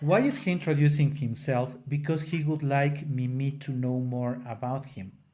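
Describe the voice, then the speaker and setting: Speaking with a non-native accent and hardly any pauses, a man has a fairly high pitch, a somewhat breathy, dark, mellow tone and fairly even intonation. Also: moderate pace. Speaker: opera singer and podcast co-host. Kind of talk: casual educational discussion. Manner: halting, with frequent self-corrections.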